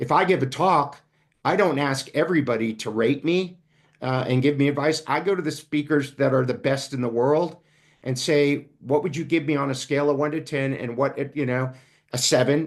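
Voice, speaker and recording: The pace is moderate and the pitch varies in an ordinary way in this unremarkable speaking voice. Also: man, fairly high pitch for a man. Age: 60s. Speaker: business coach and speaker. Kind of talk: interview conversation. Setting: podcast.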